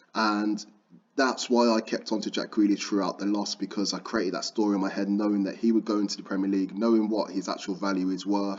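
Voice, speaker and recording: A man's very fast, flat monotone at a fairly low pitch, with a Birmingham accent. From Birmingham, England. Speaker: football trading YouTuber. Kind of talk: tutorial. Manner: casual, conversational.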